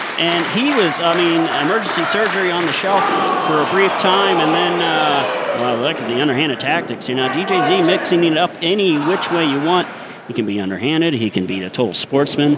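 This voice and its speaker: A man with a high voice talks at a fairly quick pace with lively intonation. Noticeable background noise runs underneath. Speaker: wrestling commentator. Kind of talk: play-by-play sports commentary. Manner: excited.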